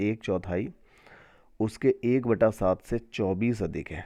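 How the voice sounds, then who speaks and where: The backdrop is quiet. A man talks with a dark, mellow tone and pitch that shifts in a normal way. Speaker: maths teacher. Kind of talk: tutorial.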